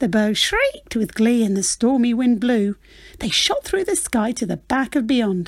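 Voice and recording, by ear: Pitch varies in an ordinary way in this clip of reading aloud in a natural voice.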